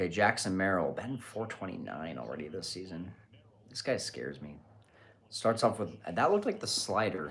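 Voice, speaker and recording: Quiet overall yet with big swings in loudness, a man speaks at a moderate pace in a very deep, low voice with vocal fry and lively intonation. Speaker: baseball podcast host. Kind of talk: live watch party commentary. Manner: quiet, keeping voice down.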